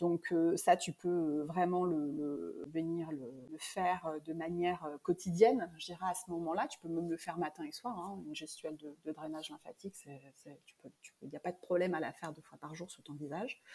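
Her voice has big swings in loudness, yet this woman keeps a fairly even intonation with a fairly low pitch and a dark, mellow tone. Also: moderate pace. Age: 40s. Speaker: face yoga teacher. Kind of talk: interview. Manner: hesitant, many fillers.

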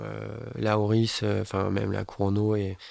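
The speaker is a man with a fairly low pitch. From Bordeaux, France. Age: 30s. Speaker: building contractor, watch collector. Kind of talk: casual interview chat.

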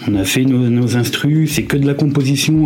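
A man talks at a fairly slow pace, with noticeable background noise and audible room echo around him. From Lyon, France (Vieux-Lyon). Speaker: former rap group member. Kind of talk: casual interview.

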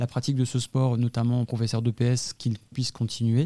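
A man's medium-pitched voice, dark and mellow in tone, with monotone, flat intonation on a very clean recording with a silent background. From northern France, Lille. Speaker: sports league president. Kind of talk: interview.

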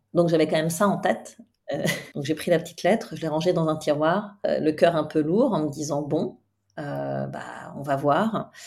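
At a fairly slow pace, a woman speaks in a very deep, low pitch with ordinary pitch variation. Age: 50s. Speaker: coach and therapist. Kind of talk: interview conversation.

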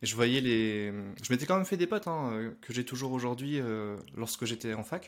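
A man talks at a moderate pace in a medium pitch, with a plain, everyday voice. The recording is very clean, with a silent background. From northern France (Lille). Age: 30s. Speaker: e-commerce entrepreneur. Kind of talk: interview.

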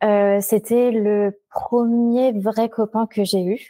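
Her tone is dark and mellow, and this woman's intonation stays fairly even. The recording is very clean with a silent background. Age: 20s. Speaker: education adviser, former teacher. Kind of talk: personal testimony.

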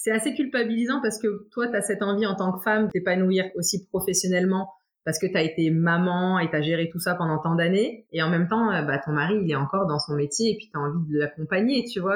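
At a fairly quick pace, a woman speaks in a plain, everyday voice at a medium pitch with lively intonation. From France, Troyes. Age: 30s. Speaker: footballer's wife, nurse. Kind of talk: interview testimony.

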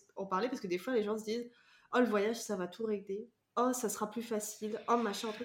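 Speaking at a fairly quick pace, a woman has an unremarkable speaking voice with fairly high pitch. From France, Vendée. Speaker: podcast host. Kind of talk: casual interview chat.

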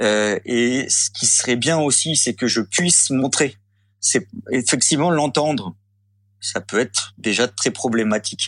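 Speaking very slowly, a man holds a medium pitch. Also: ordinary pitch variation. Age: 40s. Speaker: former soldier recovering from Covid. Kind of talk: testimony. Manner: halting.

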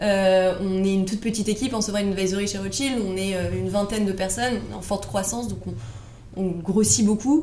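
With hardly any pauses, a woman speaks at a fairly quick pace and medium pitch, using ordinary pitch variation amid audible room echo. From Paris, France. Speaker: financial advisor. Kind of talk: interview.

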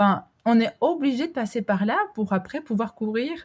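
Recorded very cleanly against a silent background, a woman with an Albanian accent speaks in a somewhat breathy voice with ordinary pitch variation. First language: Albanian (speaking French). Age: 30s. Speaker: entrepreneur, coworking founder. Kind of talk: interview conversation. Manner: hesitant, many fillers.

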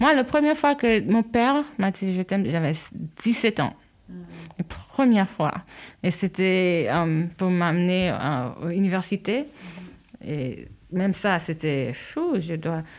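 A woman speaks very slowly at medium pitch, leaving long, frequent pauses. Her pitch swings very widely. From New York, US (born in Haiti). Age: 30s. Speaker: mother. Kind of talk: casual chat. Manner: halting, many fillers.

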